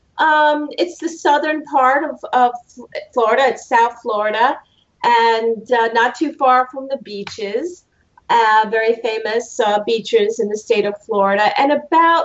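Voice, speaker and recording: Over a quiet background, a woman speaks in a high voice at a fairly slow pace. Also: ordinary pitch variation. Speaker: judge, remote guest. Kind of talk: interview answer. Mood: warm, enthusiastic. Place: home room. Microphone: video call.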